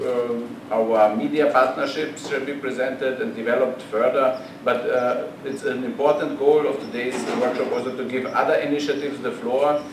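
Both audible room echo and noticeable background noise come through as a man speaks. His pace is moderate and his intonation fairly even. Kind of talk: opening remarks speech. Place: meeting room. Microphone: podium.

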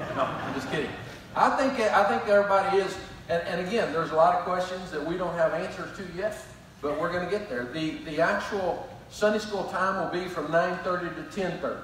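Speech moves at a fairly quick pace with ordinary pitch variation. Audible room echo and light background noise are present. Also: man, high pitch for a man. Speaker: pastor. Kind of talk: sermon announcements to the congregation. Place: church.

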